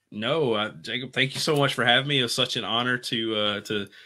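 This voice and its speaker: This is a man speaking with a Louisiana accent. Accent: Southern US (Louisiana). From US South, Louisiana countryside near Bossier City. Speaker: physical therapist and self-publishing author. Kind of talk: casual interview, personal story. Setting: livestreamed video call from home.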